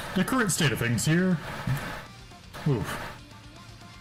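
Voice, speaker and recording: Over music in the background, a man's fairly high voice swings very widely in pitch. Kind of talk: casual gaming livestream commentary. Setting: laptop built-in mic with loud fans, muffled. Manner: relaxed, casual.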